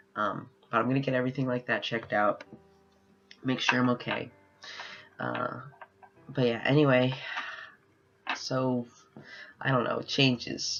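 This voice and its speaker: A man talks at a moderate pace, with long pauses coming often. Music plays in the background. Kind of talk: casual video diary. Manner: rambling, halting with fillers.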